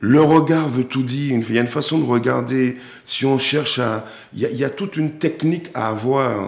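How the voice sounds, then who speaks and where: A man talks at a moderate pace. His voice has a medium pitch. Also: ordinary pitch variation. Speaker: actor and director. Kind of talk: TV interview. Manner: hesitant, many repetitions.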